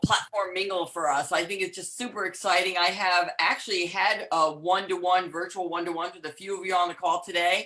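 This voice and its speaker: With a New York accent, a woman talks at a very fast pace and medium pitch over noticeable background noise. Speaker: empowerment coach. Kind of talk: casual chat. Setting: video call.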